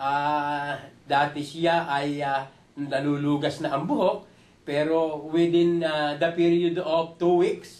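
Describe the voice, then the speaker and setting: A man's fairly high, monotone voice at a very slow pace, with flat intonation and very even loudness. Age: 60s. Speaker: product user giving testimonial. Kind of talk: testimony. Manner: halting; polite.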